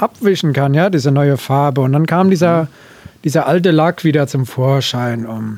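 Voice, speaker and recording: The man has a normal speaking voice. He talks at a moderate speed, his pitch varying in an ordinary way. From Hesse, northern former Dill district. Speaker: tractor owner. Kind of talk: casual interview. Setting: in an old barn.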